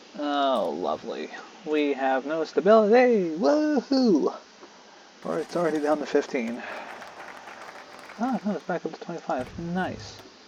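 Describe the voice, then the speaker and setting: With crowd noise in the background, the speaker is soft-spoken, moving at a fairly slow pace with long, frequent pauses. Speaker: gaming video creator. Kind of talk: let's play commentary. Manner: quiet, soft-spoken.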